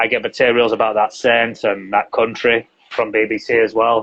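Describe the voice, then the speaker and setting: A man speaks with a Yorkshire accent. His pitch sits in the medium range. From northern England, Yorkshire. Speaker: English teacher and translator. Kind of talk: interview. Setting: live video stream.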